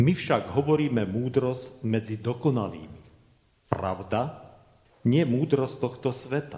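A man speaks at a fairly slow pace in a medium pitch with ordinary pitch variation. His dark, mellow tone is somewhat breathy. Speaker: Lutheran pastor. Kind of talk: sermon. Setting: church.

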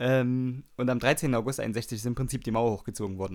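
A man's medium-pitched voice with a Saxon accent at a fairly quick pace, on a very clean recording with a silent background. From Saxony, Germany. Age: 30s. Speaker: radio DJ. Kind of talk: casual radio show hosting. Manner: casual, with many fillers.

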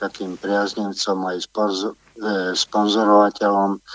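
A man speaks very slowly at a fairly low pitch. The sound is dry and close, with no echo. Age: 60s. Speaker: caller. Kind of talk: phone-in call. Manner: halting.

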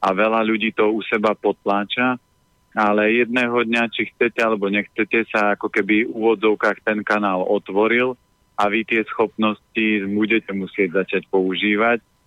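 A man's moderate-paced speech in monotone, flat intonation with very even loudness. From Slovakia, Orava region. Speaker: healthy eating consultant. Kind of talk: radio interview, giving health advice. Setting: phone call.

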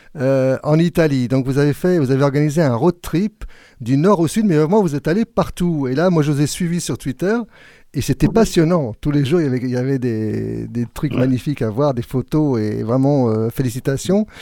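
With a dark, mellow tone and a fairly high pitch, a man talks at a moderate pace with lively intonation on a very clean recording with a silent background. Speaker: radio host. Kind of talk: live radio show presenter chat. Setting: radio studio, live broadcast.

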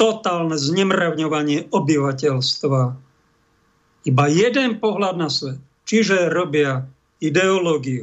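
A man's fairly high voice with lively intonation at a fairly slow pace. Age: 50s. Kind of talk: religious commentary monologue. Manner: animated.

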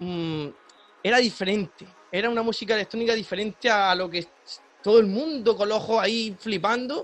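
This man has a high pitch with ordinary variation. His pace is moderate. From Murcia, Spain. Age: 20s. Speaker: DJ and music producer. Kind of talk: interview.

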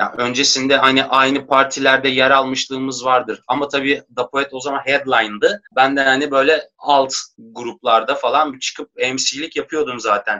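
A man speaks in an ordinary speaking voice at medium pitch and a moderate pace, with fairly even intonation and hardly any pauses. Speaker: rapper. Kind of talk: casual chat.

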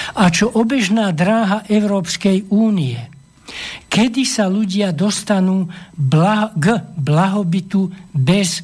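At a very slow pace, a man speaks in a high pitch with very even loudness. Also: lively intonation. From Slovakia, Levice district. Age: old. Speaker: economics professor. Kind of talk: radio interview, explanatory. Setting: studio.

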